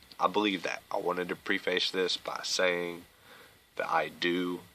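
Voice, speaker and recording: A man talks against noticeable background noise. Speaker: YouTube vlogger. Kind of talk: casual rant.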